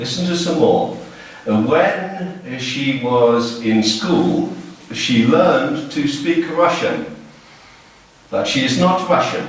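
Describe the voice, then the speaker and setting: A man with an English accent speaks in a high voice with very wide pitch swings, at a very slow pace with long, frequent pauses, over noticeable background noise and audible room echo. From England. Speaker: teacher. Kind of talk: classroom lesson. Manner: slow and clear.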